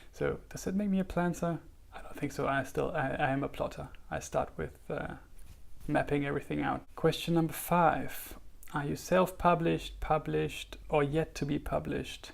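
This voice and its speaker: Here a man speaks with a German accent. His pace is moderate. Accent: German, noticeable. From Germany. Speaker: writer and YouTuber. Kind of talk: casual vlog talk. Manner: hesitant, many fillers.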